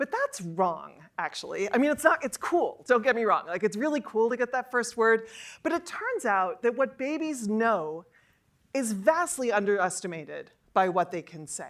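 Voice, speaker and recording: In a very clean recording with a silent background, a woman with a high pitch speaks in an animated tone at a moderate pace, her pitch swinging very widely. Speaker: psychology professor. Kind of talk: lecture.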